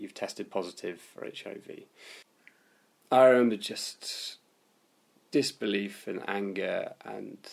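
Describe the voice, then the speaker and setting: A very slow delivery in a southern English accent, with long, frequent pauses and big swings in loudness. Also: man. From London, West Hampstead. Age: 20s. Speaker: swimmer living with HIV. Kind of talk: interview testimony.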